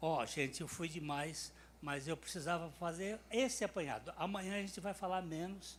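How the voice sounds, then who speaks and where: A man is speaking at a high pitch. His pitch variation is ordinary. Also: moderate pace. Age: 80s+. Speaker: preacher. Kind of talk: sermon.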